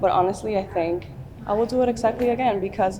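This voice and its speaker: A woman speaks with a Dominican accent. Noticeable background noise runs under her voice. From Dominican Republic. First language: Spanish. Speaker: beauty pageant contestant. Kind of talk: interview. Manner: conversational with filler words.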